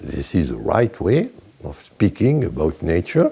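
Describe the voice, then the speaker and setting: A man talks with a French accent. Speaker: chemistry professor emeritus. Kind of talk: interview answer. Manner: humorous, humble.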